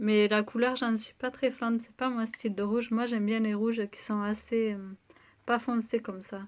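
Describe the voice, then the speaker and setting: A woman's fairly high voice in monotone, flat intonation, at a moderate pace with big swings in loudness, on a very clean recording with a silent background. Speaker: beauty vlogger. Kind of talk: product review vlog.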